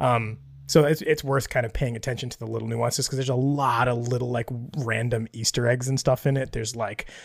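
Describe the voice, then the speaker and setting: Speaking very fast, a man keeps his medium-pitched voice fairly even. His voice is somewhat breathy. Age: 30s. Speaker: podcast co-host. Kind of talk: casual chat. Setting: home office.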